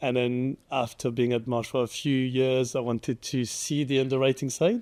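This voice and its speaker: This man talks at a moderate pace in a French accent, his pitch medium and his intonation monotone and flat. His loudness stays very even throughout. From France. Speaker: cyber insurance underwriter. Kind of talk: interview. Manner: halting.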